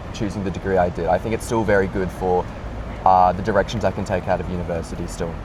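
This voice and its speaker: A man's very deep, low voice with an Australian accent at a very fast pace, amid noticeable background noise. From Australia, Sydney. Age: 20s. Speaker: university student. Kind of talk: interview. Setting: in person, Sydney.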